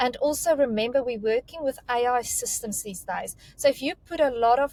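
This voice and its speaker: In a South African accent, a high-pitched woman speaks at a moderate pace with ordinary pitch variation, captured in a dry, close sound with no echo. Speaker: recruitment career mentor. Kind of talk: panel discussion on resume advice. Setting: video call.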